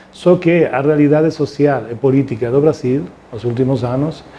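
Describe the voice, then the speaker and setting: A man with a Spanish accent talks at a moderate pace in a fairly high voice. Noticeable background noise runs underneath. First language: Spanish (speaking Portuguese). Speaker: constitutional law professor. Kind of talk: interview. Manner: halting.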